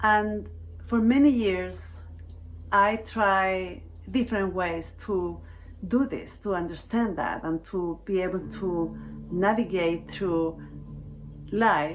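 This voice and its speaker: A woman with a Chilean Spanish accent at a very slow pace, medium in pitch with ordinary variation, long and frequent pauses, and audible room echo. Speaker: healing arts practitioner. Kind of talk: personal reflective talk to camera.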